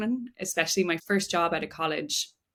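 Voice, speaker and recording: A woman speaks at a moderate pace with a fairly low pitch and ordinary pitch variation. The recording is very clean, with a silent background. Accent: Irish. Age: 20s. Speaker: physiotherapist and breathwork coach. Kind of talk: podcast interview. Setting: studio.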